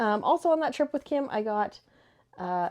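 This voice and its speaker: A woman at a fairly high pitch with lively intonation and a moderate pace. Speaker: book vlogger. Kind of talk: casual chat.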